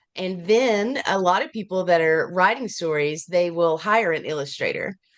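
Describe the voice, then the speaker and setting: This woman speaks with an Appalachian accent. Her pitch variation is ordinary. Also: medium pitch for a woman, moderate pace. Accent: Appalachian Southern US. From US South, Appalachian Virginia. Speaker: children's book author and illustrator. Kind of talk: interview. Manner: animated; halting.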